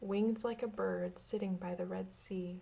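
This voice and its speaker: A woman's somewhat breathy, dark, mellow voice, calm in tone and fairly slow in pace. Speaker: ASMR creator. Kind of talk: ASMR story reading. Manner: calm, relaxing.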